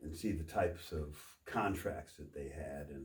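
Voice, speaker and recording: A man with an American accent speaks at a moderate pace, his tone dark and mellow and somewhat breathy. His intonation stays fairly even, and the room echo is audible. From Texas. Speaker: copier salesperson. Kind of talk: casual interview. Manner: halting, repeats words.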